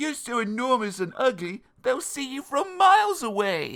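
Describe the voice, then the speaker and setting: Putting on a character voice, a man speaks at an extremely high pitch and a moderate pace, his pitch swinging very widely. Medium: read story.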